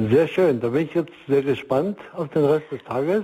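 Speaking fairly slowly, a man uses a plain, everyday voice. His pitch is fairly high and varies in an ordinary way. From East Germany. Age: 60s. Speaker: marriage counselor and organization leader. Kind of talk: radio interview. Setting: remote line.

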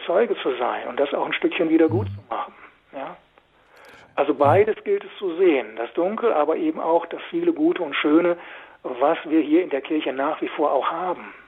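The man's voice is high in pitch, with lively intonation. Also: moderate pace. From Westphalia, Germany (Münsterland / Osnabrück area). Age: 60s. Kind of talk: radio interview. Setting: phone call.

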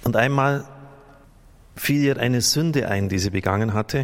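At a moderate pace, a man speaks at medium pitch. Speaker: priest. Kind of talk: sermon, earnest and pastoral, addressing the congregation directly. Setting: church. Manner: earnest, admonishing, explanatory; conversational, occasionally stumbling and self-correcting.

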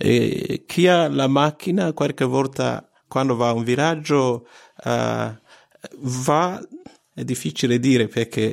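This man has an Italian accent. He talks at a very slow pace. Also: medium pitch for a man, ordinary pitch variation. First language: Italian (speaking German). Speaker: radio network coordinator. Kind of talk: interview. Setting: studio.

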